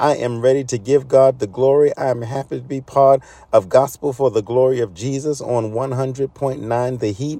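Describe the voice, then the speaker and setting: Here a man with an American accent has a medium-pitched voice and a dark, mellow tone. He talks at a moderate pace with fairly even intonation and hardly any pauses. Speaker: pastor. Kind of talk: sermon; fervent prayer, pastoral and intercessory. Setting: church. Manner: fervent, pleading, urgent.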